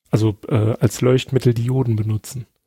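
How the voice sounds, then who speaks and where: In a dry, close recording with no echo, a man speaks at a moderate pace in a somewhat breathy voice with a dark, mellow tone. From Saarland, near French border. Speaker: podcast guest. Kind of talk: casual chat. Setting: remote call.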